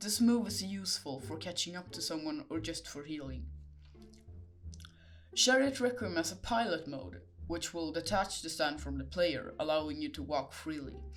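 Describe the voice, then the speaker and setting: Speaking with a non-native accent, a man keeps a moderate pace. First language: not English. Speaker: gaming video creator. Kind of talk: game guide narration.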